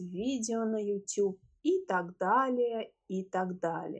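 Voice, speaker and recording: Against a quiet background, a woman with a fairly high pitch speaks with lively intonation. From Russia, Moscow. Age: 30s. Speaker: podcast host, language teacher. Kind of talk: language-learner podcast monologue. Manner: clear, measured for learners.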